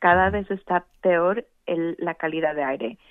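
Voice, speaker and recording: This woman has a plain, everyday voice with a fairly low pitch. She talks at a fairly slow pace with fairly even intonation. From Mexico, Veracruz and Mexico City. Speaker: elected water board member. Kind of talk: radio interview.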